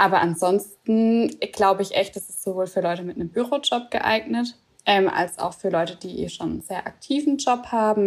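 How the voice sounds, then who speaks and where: The voice is an unremarkable speaking voice at a moderate pace. Its pitch varies in an ordinary way. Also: woman. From Swabia, southern Germany. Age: 20s. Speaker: office worker and program participant. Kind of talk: casual interview chat.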